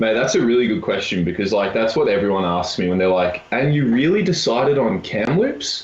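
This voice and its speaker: Against noticeable background noise, a man with an Australian accent and a medium pitch talks at a fairly quick pace with lively intonation, very even loudness and hardly any pauses. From Australia, Melbourne. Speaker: university volleyball player. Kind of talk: casual chat.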